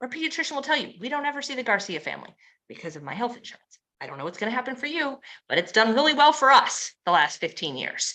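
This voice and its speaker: Projecting her voice, a woman speaks very fast at a high pitch in a bright, sharp tone. Her pitch swings very widely and her loudness swings a lot. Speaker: network marketing presenter. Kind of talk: sales pitch. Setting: live stream.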